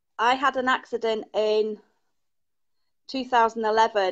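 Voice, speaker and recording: Monotone, flat intonation in an English accent, over a quiet background. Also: woman. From England. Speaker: caller, Reiki healer. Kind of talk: casual chat.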